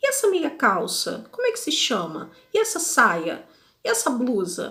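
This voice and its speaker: Her voice raised and projected, a woman speaks high-pitched at a fairly slow pace with very wide pitch swings. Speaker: podcast host, language learner. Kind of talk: casual podcast monologue. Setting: video podcast recording. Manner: conversational.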